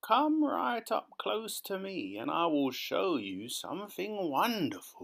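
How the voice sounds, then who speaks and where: Speaking in a put-on character voice, a man uses a high, creaky pitch at a fairly slow pace with hardly any pauses. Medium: read story. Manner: conspiratorial.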